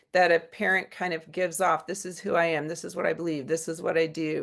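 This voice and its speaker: This is an unremarkable speaking voice at a moderate pace. The background is quiet. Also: woman. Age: 60s. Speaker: psychiatrist. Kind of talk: lecture. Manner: casual, with many fillers.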